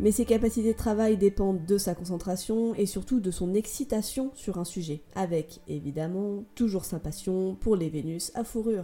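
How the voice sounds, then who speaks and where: Woman's medium-pitched, somewhat breathy voice with a dark, mellow tone, at a moderate pace with hardly any pauses. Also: ordinary pitch variation. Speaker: podcast host. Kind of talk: storytelling monologue. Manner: animated. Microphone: sound problem for about half the episode.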